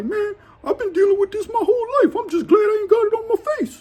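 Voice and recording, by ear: Putting on a squeaky character voice, a man talks at a very fast pace with an extremely high pitch.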